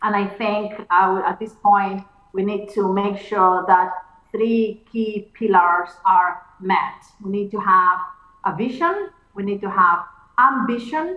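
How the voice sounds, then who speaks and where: A woman talks at a medium pitch. Her pace is very slow. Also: ordinary pitch variation. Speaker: computer scientist. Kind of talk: keynote conversation.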